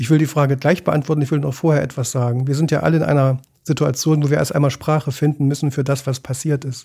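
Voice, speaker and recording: A man speaks at a very fast pace with fairly high pitch and a monotone, flat intonation. His tone is dark and mellow, and somewhat breathy. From East Germany. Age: 60s. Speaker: journalist and ship chaplain. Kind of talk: interview. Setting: studio.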